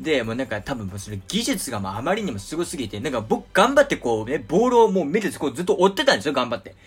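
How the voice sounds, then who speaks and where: A man with a fairly high pitch, very wide pitch swings, big swings in loudness, a very fast pace and hardly any pauses, over music in the background. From Japan. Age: 20s. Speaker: podcast host. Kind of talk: casual monologue. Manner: many filler words.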